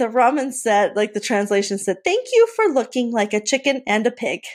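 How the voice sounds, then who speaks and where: A woman with a plain, everyday voice and fairly high pitch talks at a moderate pace on a very clean recording with a silent background. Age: 40s. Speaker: Disney fan and travel guest. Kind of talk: casual chat.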